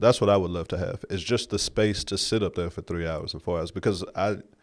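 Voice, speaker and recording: An ordinary speaking voice from a man with an American accent and fairly low pitch, on a very clean recording with a silent background. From West Texas. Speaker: comedian. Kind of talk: casual chat.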